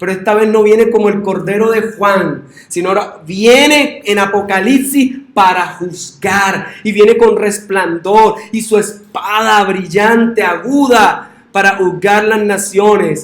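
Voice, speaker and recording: A man's high-pitched voice at a very slow pace, with hardly any pauses and audible room echo. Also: fairly even intonation. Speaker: pastor. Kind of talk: sermon.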